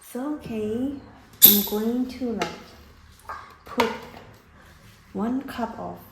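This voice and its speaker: A woman with a non-native accent speaks at a very slow pace. Audible room echo and noticeable background noise surround her. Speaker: cooking vlogger. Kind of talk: tutorial. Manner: casual, hesitant with fillers.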